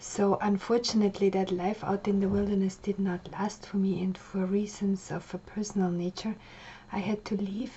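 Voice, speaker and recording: With a German accent, a woman speaks at a medium pitch. Her intonation is monotone and flat. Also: moderate pace. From Austria. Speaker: life coach. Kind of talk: personal biography monologue. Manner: casual, with frequent fillers.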